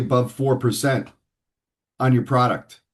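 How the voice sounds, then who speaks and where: A man with an American accent speaks at a moderate pace over a quiet background. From New York City (Manhattan). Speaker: financial advisor. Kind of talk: interview.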